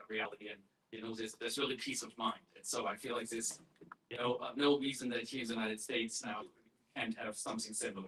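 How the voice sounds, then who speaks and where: This man talks with a German accent and a bright, sharp tone. His intonation is fairly even. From Germany. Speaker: activist group chair. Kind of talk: conference welcome speech. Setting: conference stage with audience. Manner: halting, many fillers. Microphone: poor recording quality.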